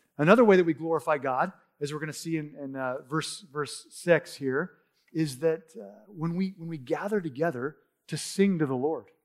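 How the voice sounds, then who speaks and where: With a normal speaking voice, a man at a fairly high pitch talks at a moderate pace, using ordinary pitch variation and big swings in loudness. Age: 40s. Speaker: pastor. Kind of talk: sermon. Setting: church.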